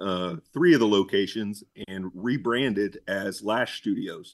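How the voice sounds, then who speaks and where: This man speaks at a very slow pace in a fairly low pitch, with an American accent. The background is quiet. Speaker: business owner. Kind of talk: interview. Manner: halting, many fillers.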